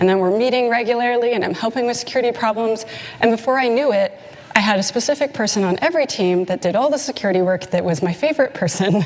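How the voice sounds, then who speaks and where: A very fast voice with a slight Canadian accent, ordinary pitch variation, very even loudness and noticeable background noise. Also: woman, fairly high pitch for a woman. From Canada. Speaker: conference speaker, security consultant. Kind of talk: conference talk. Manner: animated.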